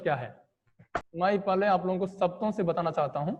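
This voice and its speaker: A man with a Tamil accent, high in pitch, with ordinary pitch variation and a moderate pace. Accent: non-native Hindi, Tamil speaker. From Tamil Nadu, India. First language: Tamil (speaking Hindi). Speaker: online teacher. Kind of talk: online class lecture. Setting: video call.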